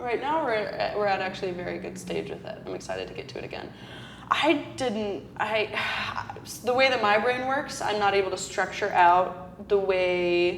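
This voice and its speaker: In a room with audible echo and noticeable background noise, a woman with an American accent speaks at a medium pitch with ordinary pitch variation and big swings in loudness. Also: moderate pace. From Colorado. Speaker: acting student, podcast co-host. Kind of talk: casual chat.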